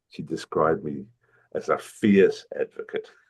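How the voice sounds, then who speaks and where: A man speaks with an Australian accent. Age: 70s. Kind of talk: interview. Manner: halting, many fillers.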